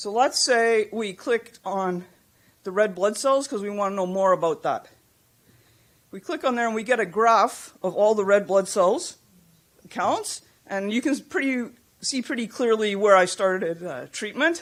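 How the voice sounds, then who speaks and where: In a very clean recording with a silent background, a woman with fairly high pitch talks at a moderate pace with lively intonation, a plain, everyday voice. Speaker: patient representative and computer scientist presenting at a conference. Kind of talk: conference presentation.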